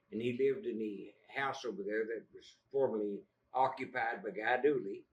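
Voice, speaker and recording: With an Appalachian accent, a man speaks with lively intonation. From West Virginia (Fayette County). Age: 80s+. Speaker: local historian. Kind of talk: public talk. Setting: library audience. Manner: halting.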